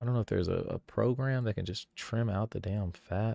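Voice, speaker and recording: In a very clean recording with a silent background and a dry, close sound with no echo, a man uses a plain, everyday voice with ordinary pitch variation at a moderate pace. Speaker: livestreamer and content creator. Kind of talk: casual live stream commentary while editing. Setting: live stream. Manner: rambling with fillers and repetitions.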